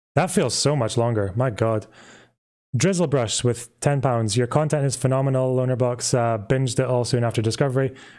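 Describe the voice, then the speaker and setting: A man with a slight Scottish accent speaks at a moderate pace and medium pitch, his tone dark and mellow, his intonation fairly even, on a very clean recording with a silent background. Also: very even loudness. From Scotland. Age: 20s. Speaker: YouTuber, history commentator. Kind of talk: live stream Q&A. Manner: halting, many fillers.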